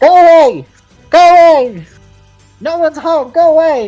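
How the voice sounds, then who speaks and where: Shouting in a squeaky, high-pitched put-on character voice at a moderate pace, the speaker is heard over faint music in the background. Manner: distant, echoey, shouting.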